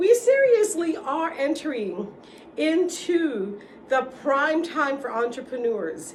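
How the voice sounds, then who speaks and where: Someone with a New York accent speaks in an animated tone, with audible room echo. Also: woman. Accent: New York City. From New York City, the Bronx. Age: 60s. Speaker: vlogger. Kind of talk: casual monologue.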